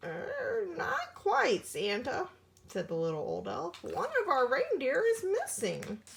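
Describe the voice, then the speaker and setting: Putting on a character voice pitched extremely high, a woman talks at a fairly slow pace. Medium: read story. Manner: hesitant, fussy.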